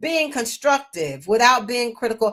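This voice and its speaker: A woman with an American accent uses a plain, everyday voice at a fairly high pitch with lively intonation. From US South, Memphis. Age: 60s. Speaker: children's book author. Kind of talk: interview conversation.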